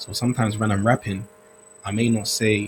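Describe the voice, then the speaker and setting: At a fairly quick pace, a man speaks in a fairly low, monotone, flat voice. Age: 30s. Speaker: rapper and producer. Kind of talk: casual chat.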